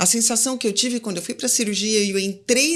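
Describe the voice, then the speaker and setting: A woman's voice sits fairly high. Her pitch rises and falls in an ordinary way. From Brazil, Campinas (São Paulo state). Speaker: physician. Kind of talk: interview conversation. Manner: casual, conversational.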